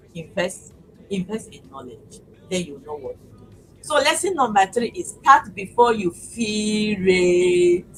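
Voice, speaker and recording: A woman speaks at a moderate pace over music in the background. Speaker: business talk show host. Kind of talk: motivational live talk.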